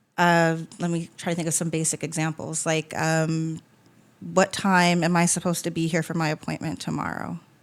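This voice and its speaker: Recorded very cleanly against a silent background, a woman speaks with a fairly low pitch and monotone, flat intonation. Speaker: podcast host and funeral home worker. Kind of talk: casual conversation. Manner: fast.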